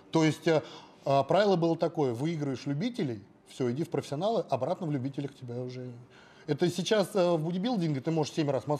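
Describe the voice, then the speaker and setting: Lively intonation rides on a dark, mellow tone at a moderate pace. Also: man. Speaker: bodybuilder; interview guest. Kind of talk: interview. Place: gym. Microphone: lapel.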